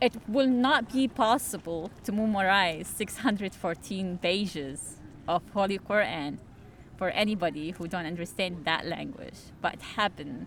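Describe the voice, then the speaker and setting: A woman with an Arabic accent, medium-pitched, at a moderate pace with lively intonation. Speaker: community organizer and Islamic apologist. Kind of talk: street interview. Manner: halting.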